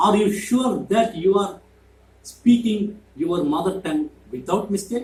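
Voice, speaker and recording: A man with a Keralan accent speaks at a fairly slow pace. His pitch is high. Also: ordinary pitch variation. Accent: Indian (Malayali) English. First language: Malayalam. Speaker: YouTuber. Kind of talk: monologue to camera.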